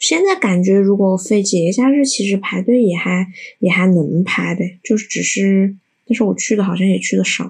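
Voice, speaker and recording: Ordinary pitch variation and a somewhat breathy sound, paced moderately. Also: woman, medium pitch for a woman. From Changsha, Hunan. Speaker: guest, local resident. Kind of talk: casual chat.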